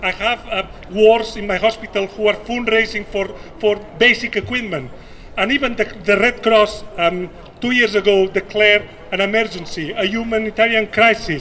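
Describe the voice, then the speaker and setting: With a non-native accent, a raised, projected voice keeps fairly even intonation over noticeable background noise. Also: man, high pitch for a man, moderate pace. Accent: foreign. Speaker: nurse and activist. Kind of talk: rally speech. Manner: impassioned; halting, repeats words.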